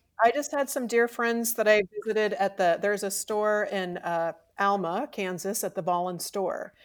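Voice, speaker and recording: Recorded very cleanly against a silent background, a woman with an American accent uses a plain, everyday voice with ordinary pitch variation. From Missouri. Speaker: textile artist. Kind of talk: interview.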